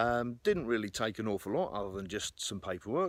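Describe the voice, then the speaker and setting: Using lively intonation, a man with an American accent talks at medium pitch and a fairly quick pace. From England. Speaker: outdoors and firearms vlogger. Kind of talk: opinion monologue to camera. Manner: hesitant, many fillers and repeats.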